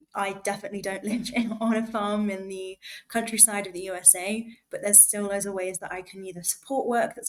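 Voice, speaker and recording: Speaking at a fairly quick pace, a woman with an English accent keeps a medium pitch and fairly even intonation. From England. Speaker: student, podcast co-host. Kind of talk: casual chat.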